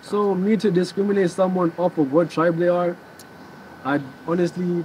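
Over light background noise, a man with a Kenyan accent speaks at a fairly high pitch. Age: young. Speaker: protester; interview guest. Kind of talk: casual chat.

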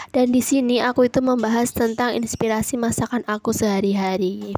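A woman with a fairly high pitch speaks in a monotone, flat intonation at a moderate pace, with a dry, close sound with no echo. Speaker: home cooking vlogger. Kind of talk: cooking tutorial. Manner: casual, chatty.

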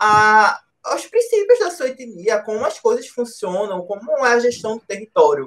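This man has a high pitch and lively intonation. He speaks at a moderate pace. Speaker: moderator and master's student. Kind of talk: interview discussion, podcast.

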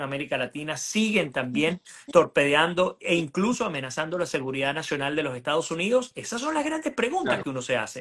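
Speaking quickly but not hurriedly, a man with a Venezuelan accent uses a fairly high pitch. The background is quiet. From Venezuela (Puerto Ordaz). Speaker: journalist and political analyst; journalist, political analyst. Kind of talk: political interview. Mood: earnest, argumentative. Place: home room. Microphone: video call.

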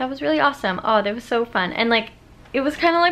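Lively intonation from a woman speaker. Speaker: vlogger. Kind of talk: casual vlog chat. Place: home room. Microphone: phone near.

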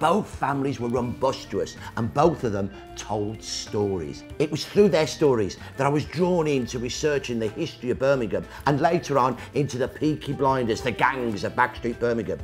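Lively intonation carries the speech at a moderate pace, with faint music in the background. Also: man, medium pitch for a man. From Birmingham, England. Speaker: historian. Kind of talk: interview answer. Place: bar. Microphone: lapel.

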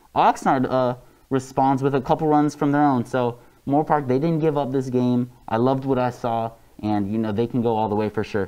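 A man speaks at medium pitch and a moderate pace, his intonation fairly even. His tone is dark and mellow, also clear and smooth.

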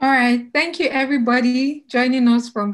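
A woman speaks at a high pitch and a moderate pace. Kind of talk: welcome speech. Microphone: video call.

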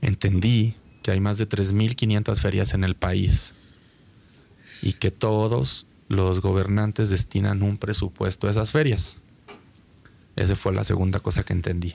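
A man with a fairly low pitch uses fairly even intonation and very even loudness, with long, frequent pauses. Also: fairly slow pace. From Mexico. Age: 30s. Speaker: concert promoter; podcast guest. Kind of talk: interview. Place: studio. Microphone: studio mic.

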